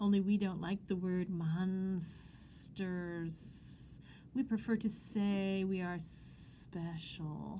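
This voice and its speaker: A put-on character voice hisses as it speaks at a very slow pace. Long, frequent pauses break it up, and background noise is clearly audible. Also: woman, medium pitch for a woman. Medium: read story.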